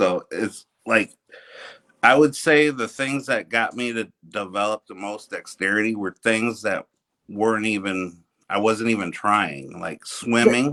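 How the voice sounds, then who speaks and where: A man speaks at medium pitch and a fairly slow pace, with ordinary pitch variation. His tone is bright and sharp, and his loudness swings a lot. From United States, Mexican-American family. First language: Spanish. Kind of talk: casual interview. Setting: live video stream. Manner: halting, repeats words.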